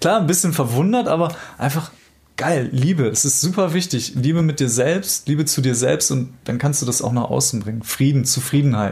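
Somewhat breathy, a man speaks at a fairly quick pace and a fairly high pitch. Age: 30s. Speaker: life coach. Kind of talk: casual interview.

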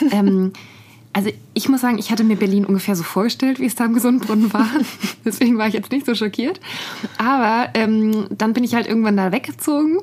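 Speaking at a fairly quick pace with long, frequent pauses, a woman with a fairly high pitch keeps her loudness very even and her pitch variation ordinary over noticeable background noise. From Nuremberg, Franconia, Germany. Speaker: podcast co-host, journalist. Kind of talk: casual chat. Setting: studio.

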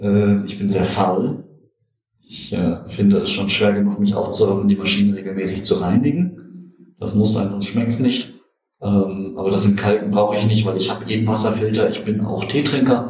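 Speaking at a moderate pace with fairly even intonation, a man has an unremarkable speaking voice. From Germany, Göttingen. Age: 50s. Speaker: computer scientist and espresso enthusiast. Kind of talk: casual chat. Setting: studio.

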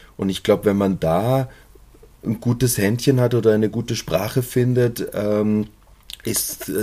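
Here a man speaks in a dark, mellow tone. His pitch variation is ordinary. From Munich, Bavaria. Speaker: stage actor. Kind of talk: interview. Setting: outdoors in a courtyard.

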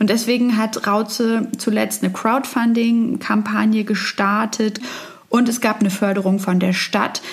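Fairly high-pitched female voice, flat and monotone, at a fairly slow pace with very even loudness amid noticeable background noise. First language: German. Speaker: reporter. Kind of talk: narrated report in German.

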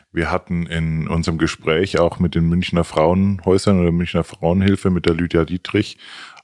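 Heard dry and close with no echo, a man speaks in a very deep, low pitch with monotone, flat intonation. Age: 40s. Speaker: podcast co-host. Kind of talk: interview.

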